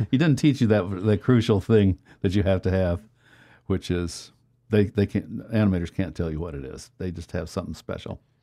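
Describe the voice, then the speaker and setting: On a very clean recording with a silent background, a man with an American accent speaks in a very deep, low pitch and a dark, mellow tone, with ordinary pitch variation and big swings in loudness. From Texas. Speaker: computer graphics pioneer. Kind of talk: interview.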